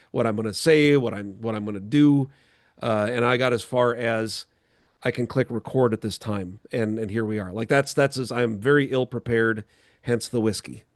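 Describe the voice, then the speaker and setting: This man has an Upper Midwest accent and a medium pitch, speaking at a moderate pace with fairly even intonation. The sound is dry and close, with no echo. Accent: Upper Midwest American. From North Dakota (New Salem). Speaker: podcast host and producer. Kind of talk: casual chat.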